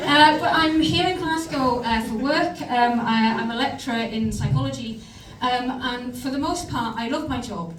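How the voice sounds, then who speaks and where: Over noticeable background noise and audible room echo, a woman talks in a high pitch with lively intonation. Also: moderate pace. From northeast England. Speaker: comedian. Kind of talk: stand-up. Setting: stage with audience.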